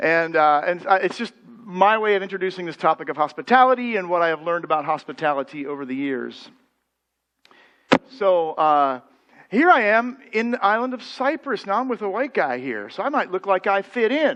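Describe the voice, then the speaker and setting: With an American accent, a man talks at a fairly quick pace. His pitch is high, with very wide swings. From United States. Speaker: pastor. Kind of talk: sermon. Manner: conversational.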